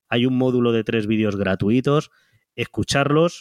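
A man with an unremarkable speaking voice talks at a moderate pace with ordinary pitch variation. The sound is dry and close with no echo, in a very clean recording with a silent background. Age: 30s. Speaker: web entrepreneur. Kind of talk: interview.

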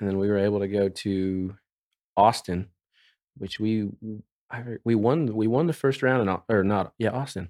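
Against a quiet background, a man has a plain, everyday voice. He speaks at a moderate pace in a fairly low pitch with ordinary pitch variation. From Oklahoma. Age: 20s. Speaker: professional team roper. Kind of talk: casual interview.

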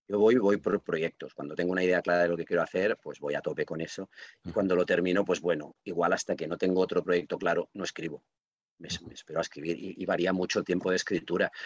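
The man's speech comes very fast. His voice sounds dry and close, without any echo. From Catalonia, Reus. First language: Catalan (speaking Spanish). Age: 50s. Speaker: writer and librarian. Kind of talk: podcast interview.

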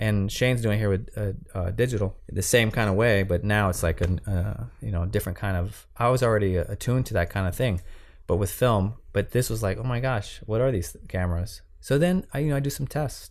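With a normal speaking voice, a man speaks fairly quickly at a fairly low pitch, with ordinary pitch variation. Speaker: cinematographer and camera assistant. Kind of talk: interview.

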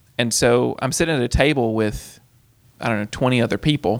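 A man's plain, everyday voice at medium pitch and a fairly quick pace. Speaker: aviation college instructor. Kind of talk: casual interview chat.

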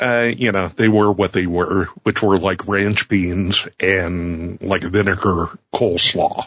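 Here a man uses a normal speaking voice at a fairly low pitch. His pace is fairly slow and his pitch variation ordinary. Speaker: producer, occasional co-host. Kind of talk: casual chat.

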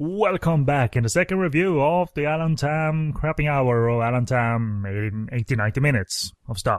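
A man with an unremarkable speaking voice talks at a moderate pace, with hardly any pauses. His fairly high pitch carries lively intonation over a quiet background. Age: 30s. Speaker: film podcast host. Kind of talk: casual chat.

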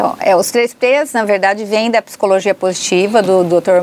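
A woman with an ordinary speaking voice, medium pitch and ordinary pitch variation, at a moderate pace. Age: 60s. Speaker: psychologist. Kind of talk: interview.

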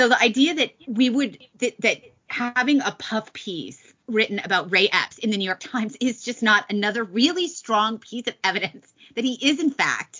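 A woman with an unremarkable speaking voice, fairly high pitch, lively intonation and moderate pace. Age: 50s. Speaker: podcast co-host. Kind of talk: casual political talk show chat.

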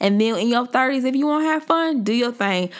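With a fairly high pitch, a woman talks in an animated tone with lively intonation. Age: 20s. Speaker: podcast host. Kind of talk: casual faith-based monologue.

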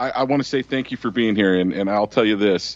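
This man has a Western US accent and a fairly low pitch. He talks at a fairly quick pace. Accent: Western American. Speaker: radio host. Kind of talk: talk radio roundtable.

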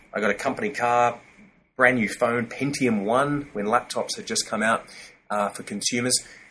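Bright, sharp male voice with an Australian accent, medium in pitch, moderate in pace and fairly even in intonation. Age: 40s. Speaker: corporate training company director. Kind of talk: interview.

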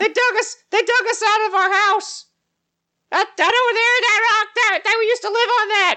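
A man puts on a character voice. It is squeaky and pitched extremely high. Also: moderate pace. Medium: actual play. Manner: stammering, repeats words nervously.

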